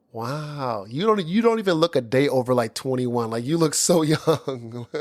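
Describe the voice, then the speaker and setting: An unremarkable speaking voice with lively intonation at a moderate pace. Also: man, medium pitch for a man. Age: 30s. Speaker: podcast host. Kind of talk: casual chat.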